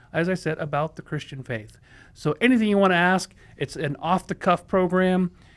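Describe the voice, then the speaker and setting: Speech at a moderate pace carries ordinary pitch variation. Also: man, high pitch for a man. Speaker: pastor hosting a Bible Q&A show. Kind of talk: livestream program host talk. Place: studio. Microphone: studio mic.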